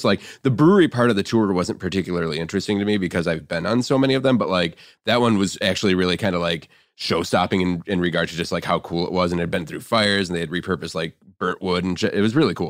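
In a Midwestern American accent, a man with a very deep, low voice talks very fast in an animated tone, his pitch varying in an ordinary way, on a very clean recording with a silent background. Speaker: podcast guest, craft beer writer. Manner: casual, animated, frequent fillers like "like".

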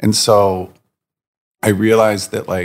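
This man has an American accent. His intonation is fairly even. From Virginia Beach, Virginia, US. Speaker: designer and apparel brand founder. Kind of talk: casual interview chat.

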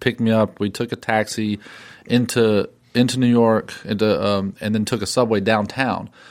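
A man with a fairly low voice talks at a moderate pace in a flat monotone. The recording is very clean, with a silent background. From western North Carolina. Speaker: filmmaker. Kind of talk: casual interview.

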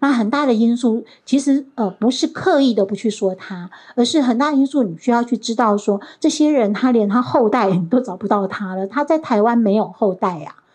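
A woman with an unremarkable speaking voice talks at a moderate pace, her pitch fairly high and her intonation lively. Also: hardly any pauses. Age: 60s. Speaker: professor. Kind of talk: lecture. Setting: stage with audience.

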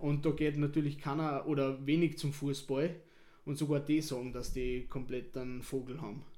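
A man's fairly high-pitched voice with fairly even intonation at a moderate pace, in a room with audible echo. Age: 30s. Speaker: football club board member. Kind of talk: casual interview. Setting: stadium.

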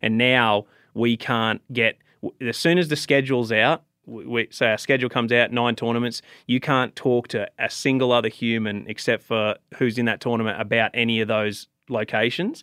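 A man's medium-pitched voice at a moderate pace. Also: fairly even intonation. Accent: Australian. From Australia. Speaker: professional bass angler. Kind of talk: casual chat.

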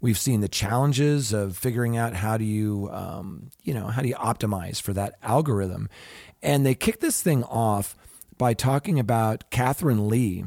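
On a very clean recording with a silent background, a man talks in an ordinary speaking voice. His pace is moderate and his pitch medium. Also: ordinary pitch variation. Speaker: podcast host. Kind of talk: casual chat with news discussion.

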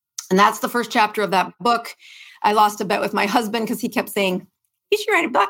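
A woman's fairly high voice at a very fast pace, with fairly even intonation. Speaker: physician. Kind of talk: interview about health and medicine. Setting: video call.

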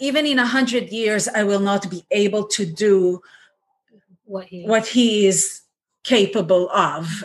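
A woman speaks at a fairly slow pace in a somewhat breathy voice, medium in pitch with ordinary pitch variation. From Israel. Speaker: ceramic artist. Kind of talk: casual chat.

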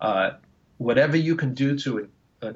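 A plain, everyday voice from a man with an American accent, medium in pitch, moderate in pace and with ordinary pitch variation. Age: 60s. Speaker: woodwind musician and retired music professor. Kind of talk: interview.

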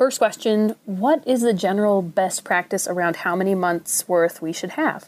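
A woman's medium-pitched voice with a Minnesotan accent, ordinary pitch variation and a moderate pace, on a very clean recording with a silent background. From Minnesota, US. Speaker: caller. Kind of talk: recorded listener question.

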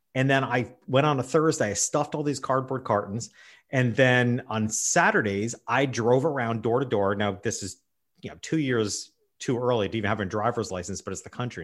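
An unremarkable speaking voice from a man with an American accent, medium pitch, fairly quick pace, on a very clean recording with a silent background. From New York State. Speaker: business consultant and speaker. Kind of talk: interview.

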